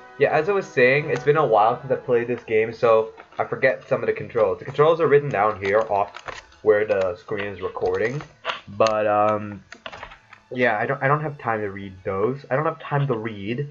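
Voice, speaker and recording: Moderate-paced speech against noticeable background noise. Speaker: gaming YouTuber. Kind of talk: let's play commentary. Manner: loud, yelling; animated.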